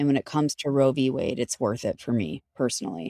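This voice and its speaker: A woman's very deep, low voice with vocal fry and an American accent, at a moderate pace, on a very clean recording with a silent background and a dry, close sound with no echo. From Chicago, US Midwest. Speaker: founder and CEO, talent recruiter. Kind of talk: podcast interview, casual chat.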